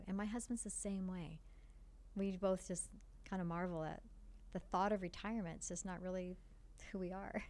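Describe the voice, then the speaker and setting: In a room with audible echo, a woman with a dark, mellow tone talks at a moderate pace and medium pitch, her intonation flat and monotone, with long, frequent pauses. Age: 60s. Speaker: foundation partnerships director. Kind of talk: podcast interview.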